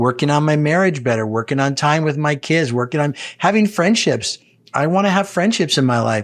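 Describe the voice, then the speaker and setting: A man with a plain, everyday voice talks at a fairly high pitch with lively intonation over a quiet background. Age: 60s. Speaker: executive coach. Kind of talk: interview conversation.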